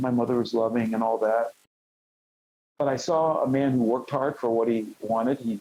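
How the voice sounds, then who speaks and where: A man with an American accent speaks at a medium pitch and a fairly quick pace, his dark, mellow tone held to fairly even intonation and very even loudness. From Cleveland, Ohio. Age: 60s. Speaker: former champion wrestler. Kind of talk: interview.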